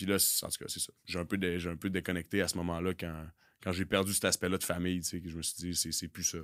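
Over a very clean recording with a silent background, a man with a very deep, low pitch speaks at a fairly quick pace in monotone, flat intonation. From Quebec City. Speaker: football coach and former pro football player. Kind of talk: casual chat. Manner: intense.

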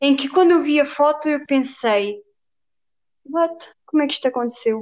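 A high-pitched woman's voice at a moderate pace. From Portugal, Viseu. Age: 20s. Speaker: personal trainer. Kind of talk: casual interview.

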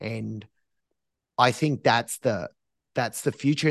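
Over a quiet background, a man with an Australian accent talks fairly slowly with ordinary pitch variation. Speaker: entrepreneur, streetwear company founder. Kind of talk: interview.

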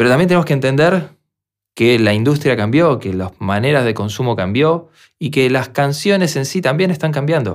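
An ordinary speaking voice from a man with a fairly high pitch, lively intonation and a moderate pace, in a very clean recording with a silent background. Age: 40s. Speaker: music producer and podcast host. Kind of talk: solo podcast monologue.

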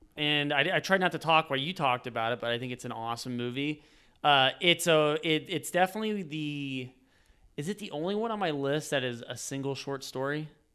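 With an ordinary speaking voice, a man talks at a fairly quick pace, his pitch fairly high and varying in an ordinary way. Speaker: podcast host. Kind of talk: casual chat.

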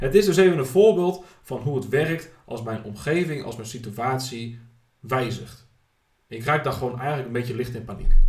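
Audible room echo around a man at medium pitch, moderate pace, lively intonation and big swings in loudness. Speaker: podcast host. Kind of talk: personal monologue.

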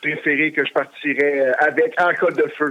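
Delivered at a fairly slow pace, this is an ordinary speaking voice with fairly even intonation. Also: man. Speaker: wrestling belt collector. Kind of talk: casual interview.

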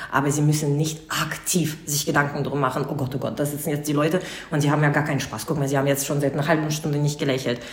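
Over noticeable background noise and audible room echo, a woman with a very deep, low voice talks very fast in a flat monotone. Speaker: wedding host and event company co-founder. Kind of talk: casual interview.

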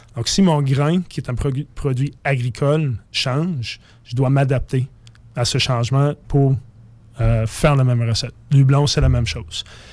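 On a very clean recording with a silent background, a man with a fairly high pitch talks at a fairly slow pace with fairly even intonation. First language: English (speaking French). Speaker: craft brewer. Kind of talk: casual radio interview.

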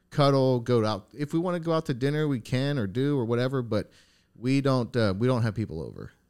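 A man with an ordinary speaking voice and an American accent speaks at a fairly quick pace in a medium pitch with ordinary pitch variation. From upstate New York. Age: 30s. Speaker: podcast host. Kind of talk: casual interview chat, with sponsor read.

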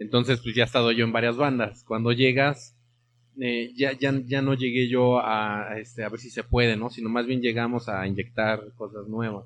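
Moderately paced male speech at medium pitch, delivered in a monotone with flat intonation. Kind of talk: interview. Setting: studio, streamed live on Facebook.

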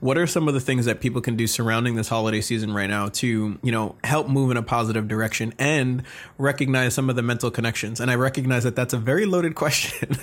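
On a very clean recording with a silent background, a man talks very fast at a medium pitch in an enthusiastic, animated tone, his loudness very even. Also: ordinary pitch variation. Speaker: podcast host. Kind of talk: casual interview.

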